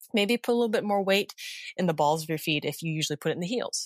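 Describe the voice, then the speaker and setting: A woman with a normal speaking voice talks at a medium pitch with lively intonation. The sound is dry and close, with no echo. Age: 40s. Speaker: personal trainer and movement coach. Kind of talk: casual interview.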